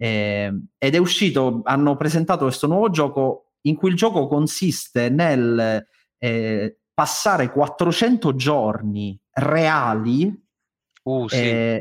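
Speaking very slowly with long, frequent pauses, a man uses lively intonation in a fairly high voice at a very even loudness. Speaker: theatre director and stage director. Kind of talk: casual podcast chat.

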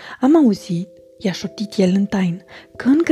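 The reading sounds natural, and the intonation rises and falls in a lively way.

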